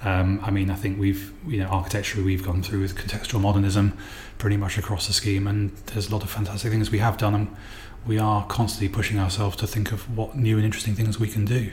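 A man speaks at a very fast pace with fairly low pitch and monotone, flat intonation. His loudness stays very even over noticeable background noise. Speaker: property developer. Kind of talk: interview. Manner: hesitant, many fillers.

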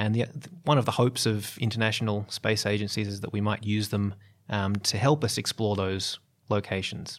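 The speaker talks at a fairly quick pace with fairly even intonation and an Australian accent, on a very clean recording with a silent background. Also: man. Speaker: geologist and biologist, planetary scientist. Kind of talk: interview.

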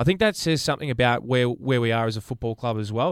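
In an Australian accent, a man speaks at a very fast pace and medium pitch. The sound is dry and close, with no echo. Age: 20s. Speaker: sports podcast co-host. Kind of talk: casual chat. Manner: quiet.

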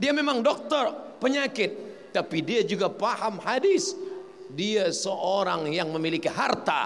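Speaking very slowly in a high voice with very wide pitch swings, a man is heard with audible room echo. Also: very even loudness. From Riau, Sumatra, Indonesia. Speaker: Islamic preacher. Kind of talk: religious lecture. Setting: mosque.

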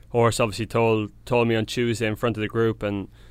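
A man with an Irish accent talks at a very fast pace in a fairly low, monotone, flat voice. The recording is very clean, with a silent background. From Ireland, County Tipperary. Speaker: professional Australian football player. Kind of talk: casual interview chat.

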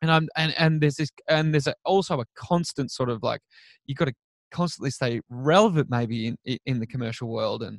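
A man's fairly high, fairly quick voice with an Australian accent, ordinary pitch variation, and a dry, close sound with no echo. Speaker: children's TV presenter. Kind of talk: casual chat. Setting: remote call.

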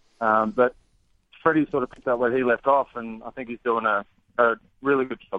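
With an Australian accent, a man at medium pitch talks at a fairly quick pace, his intonation fairly even, broken by long, frequent pauses. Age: 30s. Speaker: baseball pitcher. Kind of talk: interview. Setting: phone call.

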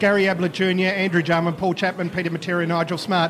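Amid noticeable background noise, a man talks at a very fast pace in a high pitch. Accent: Australian. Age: 40s. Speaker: football podcast host. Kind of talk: casual interview. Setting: live event venue.

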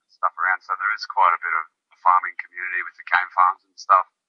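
He speaks with an Australian accent. The man's pace is very fast. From rural Queensland, Australia. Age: young. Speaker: musician and charity founder. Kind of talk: casual interview chat.

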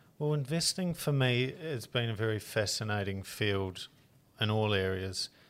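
A man talks in a New Zealand accent. His pitch is fairly low and his intonation is lively. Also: moderate pace. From rural New Zealand. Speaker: tech founder and investor. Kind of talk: interview.

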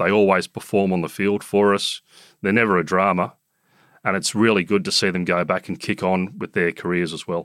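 A man with a very deep, low voice talks at a fairly quick pace in an Australian accent, his intonation monotone and flat. The recording is very clean with a silent background, and the sound is dry and close with no echo. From Sydney eastern suburbs, Australia. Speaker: cricket club chief executive. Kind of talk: casual interview.

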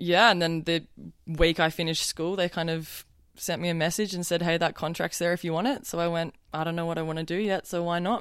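With an Australian accent, a woman speaks at a fairly quick pace in a fairly low pitch and fairly even intonation, on a very clean recording with a silent background. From southern New South Wales, Australia. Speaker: fashion model. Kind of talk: interview.

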